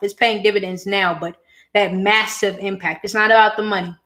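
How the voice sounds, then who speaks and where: A woman speaks at a medium pitch and a moderate pace. It is an ordinary speaking voice. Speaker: education entrepreneur and scholarship coach. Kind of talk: live-stream talk to viewers. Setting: YouTube live stream.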